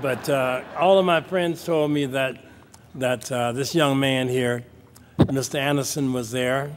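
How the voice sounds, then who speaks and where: Noticeable background noise sits behind a man whose fairly high pitch, ordinary pitch variation and fairly slow pace carry his speech. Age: 70s. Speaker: cardiac arrest survivor. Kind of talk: award speech.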